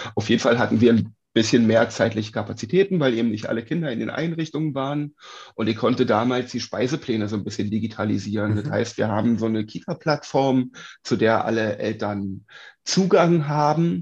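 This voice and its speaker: Medium-pitched man at a fairly quick pace with ordinary pitch variation. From Uckermark, Brandenburg, Germany. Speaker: daycare cook. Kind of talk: interview. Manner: halting, many fillers.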